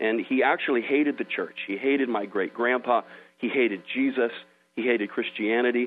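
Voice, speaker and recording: A man at a medium pitch, with an ordinary speaking voice, fairly even intonation and a fairly quick pace. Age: 30s. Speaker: evangelist. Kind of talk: sermon; interview. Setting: phone call.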